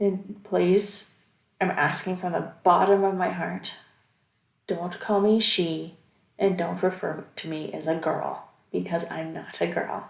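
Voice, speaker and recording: The woman's voice is medium in pitch and flat and monotone in intonation. She speaks at a fairly slow pace, and audible room echo surrounds her. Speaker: vlogger explaining personal identity. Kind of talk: personal video monologue.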